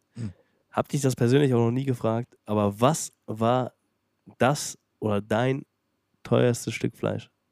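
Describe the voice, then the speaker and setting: A man speaks at a very slow pace with a medium pitch and fairly even intonation. His long, frequent pauses sit in a dry, close sound with no echo. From Germany, Detmold (Lippe). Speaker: podcast host, restaurateur. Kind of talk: casual chat.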